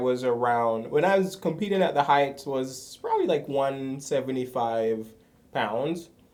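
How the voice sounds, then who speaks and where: Speaking at a fairly slow pace, a man with a medium pitch and ordinary pitch variation is heard in audible room echo. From Jamaica. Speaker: former pro athlete, startup worker. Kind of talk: casual consultation interview. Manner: hesitant, many fillers.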